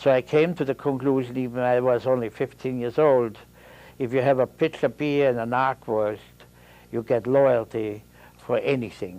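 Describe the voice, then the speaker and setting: A man with an Austrian accent speaks at a medium pitch and a moderate pace. His tone is dark and mellow, with fairly even intonation. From Austria, Vienna. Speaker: Holocaust survivor. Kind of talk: testimony. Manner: halting.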